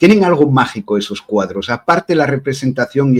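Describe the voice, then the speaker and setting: In an Asturian accent, a man talks at a moderate pace with a medium pitch and ordinary pitch variation. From Belgium, Brussels, Spanish parents. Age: 40s. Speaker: witch and tarot reader. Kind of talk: interview.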